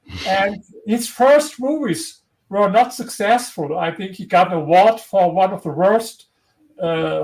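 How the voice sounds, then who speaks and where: A man with a strong German accent and a high pitch talks at a fairly slow pace using lively intonation. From Germany. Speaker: historian and author. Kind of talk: interview. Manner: halting.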